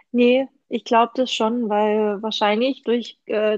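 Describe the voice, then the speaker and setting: A woman talks at a fairly high pitch with fairly even intonation. The sound is dry and close, with no echo. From Swabia, Germany. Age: 30s. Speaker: knitting podcast host. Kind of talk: casual chat.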